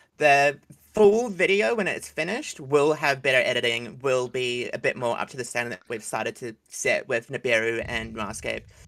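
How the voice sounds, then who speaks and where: A man with a New Zealand accent at a medium pitch and moderate pace, with lively intonation. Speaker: animation series creator. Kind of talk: casual livestream chat.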